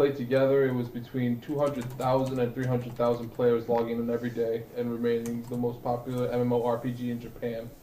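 A man speaks at a moderate pace in a monotone, flat intonation, with audible room echo and noticeable background noise. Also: medium pitch for a man, hardly any pauses. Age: 20s. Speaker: Twitch streamer and podcaster. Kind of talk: casual chat.

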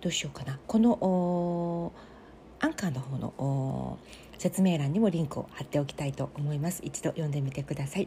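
A very deep, low female voice, somewhat breathy, with a dark, mellow tone. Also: ordinary pitch variation, moderate pace. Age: 40s. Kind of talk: casual solo monologue.

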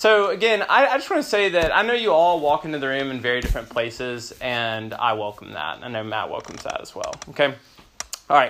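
Speaking with an American accent, a man has a normal speaking voice at fairly high pitch. He goes at a fairly quick pace with lively intonation. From US South, Memphis, Tennessee. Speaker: pastor. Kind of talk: sermon.

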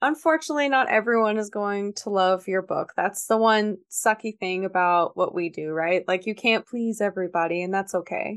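This woman has a normal speaking voice, medium in pitch, with ordinary pitch variation at a moderate pace. The sound is dry and close with no echo, over a quiet background. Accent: American. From US South, Georgia. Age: 20s. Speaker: author and editor. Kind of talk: casual interview.

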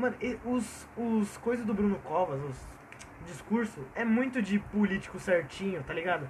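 Noticeable background noise accompanies a man talking at a moderate pace. His pitch is high and his intonation lively. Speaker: podcast co-host. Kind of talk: casual chat. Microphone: cheap Samsung earphone mic.

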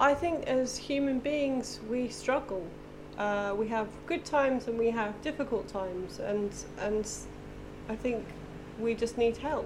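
Speaking fairly slowly with long, frequent pauses, a woman with an English accent uses a fairly high pitch and ordinary pitch variation. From England. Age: 40s. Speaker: installation artist. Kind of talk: casual interview. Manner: halting, many fillers.

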